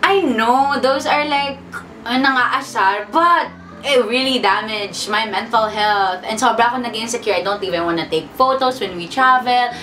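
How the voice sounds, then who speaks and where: The woman's voice sits fairly high, with lively intonation. Audible room echo and noticeable background noise surround it. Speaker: YouTuber, vlogger. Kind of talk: casual sit-down talk to camera. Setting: seated in front of camera. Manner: animated.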